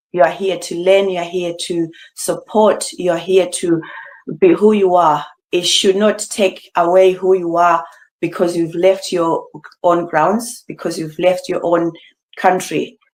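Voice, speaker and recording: A woman with a Zimbabwean accent speaks at a fairly slow pace and fairly low pitch with monotone, flat intonation. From Zimbabwe, Bulawayo. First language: Ndebele. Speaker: beauty pageant finalist. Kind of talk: interview.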